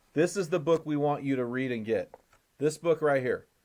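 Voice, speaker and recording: This is a man's voice. His pitch is fairly high. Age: 50s. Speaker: podcast host. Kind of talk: casual chat. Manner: animated.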